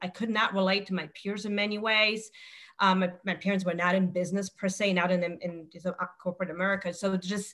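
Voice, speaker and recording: A woman with a non-native accent speaks at a medium pitch and a fairly quick pace. Her intonation is flat and monotone. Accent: foreign. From outside the US. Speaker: insurance executive and panelist. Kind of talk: webinar panel discussion.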